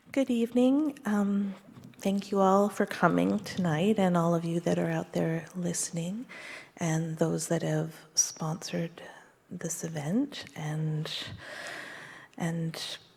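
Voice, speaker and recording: A woman's somewhat breathy, fairly low voice with a Canadian accent, fairly slow in pace with long, frequent pauses and ordinary pitch variation. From Canada, Vancouver Island and East Coast. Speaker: school trustee candidate. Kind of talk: candidate debate speech. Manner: hesitant, many fillers.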